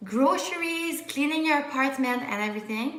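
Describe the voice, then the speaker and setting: A high-pitched woman in a Quebec accent, lively intonation, and audible room echo. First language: French. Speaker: medical student YouTuber. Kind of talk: live Q&A stream. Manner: casual, frequent fillers and restarts.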